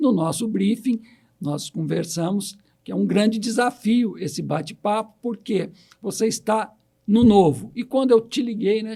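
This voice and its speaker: His voice high in pitch and dark, mellow in tone, a man speaks at a fairly slow pace with ordinary pitch variation. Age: 60s. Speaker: podcast host. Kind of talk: interview.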